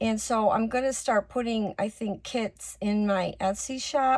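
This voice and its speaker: A woman's fairly high, somewhat breathy voice at a fairly slow pace, fairly even intonation, on a very clean recording with a silent background. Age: 60s. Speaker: crafter and online seller. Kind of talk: casual craft tutorial chat. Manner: casual with many fillers.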